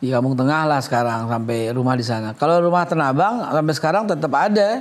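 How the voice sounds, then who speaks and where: A man with a Jakarta accent, fairly high pitch, lively intonation, a very fast pace and very even loudness. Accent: Betawi. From Jakarta, Betawi. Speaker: head of a government agency. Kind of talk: TV interview. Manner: animated.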